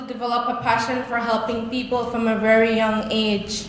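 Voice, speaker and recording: A woman speaks in a high voice. Noticeable background noise and audible room echo fill the recording. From Belize. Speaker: speaker sharing life story. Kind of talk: testimony. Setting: stage with audience. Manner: halting.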